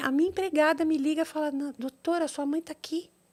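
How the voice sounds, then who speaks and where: A woman speaks with a high pitch. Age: 60s. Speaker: doctor and TV personality. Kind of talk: interview. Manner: halting, repetitive.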